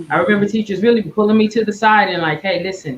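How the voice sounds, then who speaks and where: A woman's somewhat breathy voice at a medium pitch. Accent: American. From Tulsa, Oklahoma. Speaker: leadership coach. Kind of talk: casual chat.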